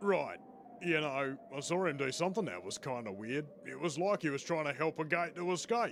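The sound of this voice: Over clear background noise, a man does a cartoonish character voice pitched fairly high. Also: moderate pace.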